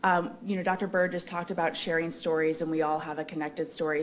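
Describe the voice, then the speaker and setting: Over music in the background and audible room echo, a woman speaks with a very deep, low pitch and ordinary pitch variation. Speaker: foundation representative and melanoma survivor. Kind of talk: conference remarks. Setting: conference hall with audience and microphone. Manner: loud.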